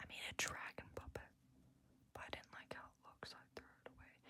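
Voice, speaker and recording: A relaxed whisper. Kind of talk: ASMR whispered showcase of own art books. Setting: low-quality ASMR recording. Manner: whispering, relaxed.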